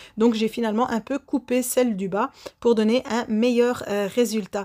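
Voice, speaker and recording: At a moderate pace, a woman speaks with a fairly high pitch, a dark, mellow tone and monotone, flat intonation. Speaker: baking youtuber. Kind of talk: baking tutorial voice-over; channel outro. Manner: frequent hesitations.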